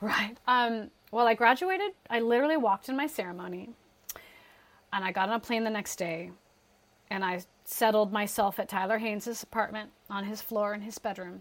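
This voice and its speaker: At a fairly quick pace, a woman with a fairly high pitch speaks in an ordinary speaking voice. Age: 40s. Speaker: musical theater actress. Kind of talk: casual chat.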